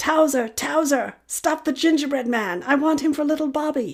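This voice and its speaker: A female-sounding voice does a put-on character voice, raspy and high-pitched. She talks at a moderate pace. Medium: read story.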